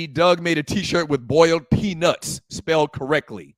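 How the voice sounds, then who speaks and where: A man with a Lowcountry accent talks at a fairly slow pace in a high pitch. The sound is dry and close with no echo, in a very clean recording with a silent background. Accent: Low Country Southern. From US Southern Low Country. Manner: Southern drawl.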